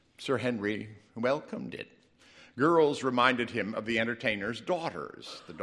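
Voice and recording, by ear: With lively intonation, the speaker is reading aloud in a natural voice.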